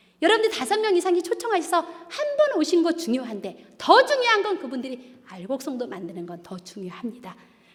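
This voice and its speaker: Over noticeable background noise, a woman talks at a fairly quick pace with hardly any pauses, in an animated tone with an extremely high pitch and very wide pitch swings. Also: big swings in loudness. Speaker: church deaconess giving testimony. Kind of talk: testimony. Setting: church.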